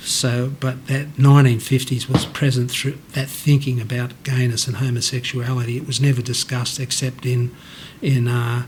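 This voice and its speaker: Noticeable background noise sits behind a man talking at a moderate pace in a medium pitch with monotone, flat intonation. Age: 60s. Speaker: interviewee sharing mental health story. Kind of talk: personal testimony. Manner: halting, with many false starts.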